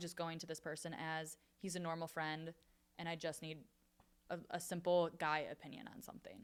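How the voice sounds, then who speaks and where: Talking at a fairly quick pace, a woman with a fairly low pitch and a Michigan accent keeps her intonation fairly even. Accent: Midwestern US (Michigan). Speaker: podcast host. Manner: casual.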